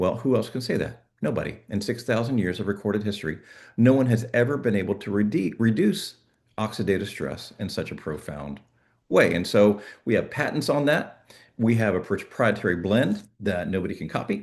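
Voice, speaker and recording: A man's fairly low-pitched, plain, everyday voice at a moderate pace, with ordinary pitch variation and a quiet background. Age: 60s. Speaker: network marketing presenter. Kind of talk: sales pitch.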